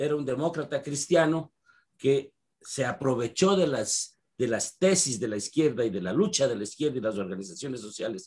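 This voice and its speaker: Somewhat breathy and dark, mellow in tone, a man with a fairly high pitch speaks at a moderate pace with lively intonation. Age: 70s. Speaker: historian and political analyst. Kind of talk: interview.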